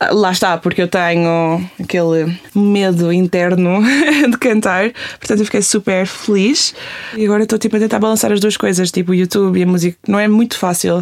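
Noticeable background noise accompanies a woman speaking at a medium pitch and moderate pace with fairly even intonation. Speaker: youtuber and singer. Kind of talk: casual chat. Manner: code-switching between Portuguese and English.

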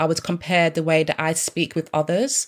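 At a moderate pace, a woman speaks with a very deep, low pitch on a very clean recording with a silent background. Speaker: debut novelist. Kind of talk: interview. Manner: slight stammer; filler-heavy casual.

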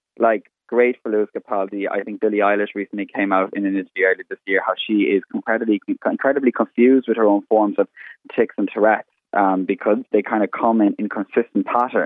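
A man talks at a very fast pace. His fairly low voice stays flat and monotone. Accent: Irish Midlands. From Ireland, County Laois (Midlands). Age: 20s. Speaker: makeup artist. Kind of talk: radio interview. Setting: remote call from home.

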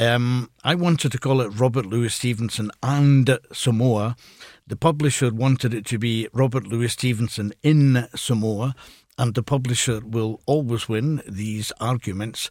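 Over a silent background on a very clean recording, a man speaks fairly slowly at a medium pitch with fairly even intonation, the sound dry and close with no echo. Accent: Glasgow. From Scotland. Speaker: retired professor and author. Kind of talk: radio interview. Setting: radio studio.

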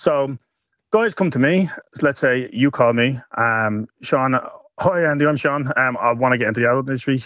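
A man with a Dublin accent talks at very even loudness, his pitch varying in an ordinary way. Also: medium pitch for a man, moderate pace. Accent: Dublin Irish. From Ireland, Dublin. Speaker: adult content creator. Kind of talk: radio interview.

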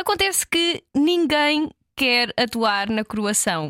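In a European Portuguese accent, a woman with a bright, sharp tone uses very wide pitch swings, recorded in a dry, close sound with no echo. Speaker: podcast co-host. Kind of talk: casual chat.

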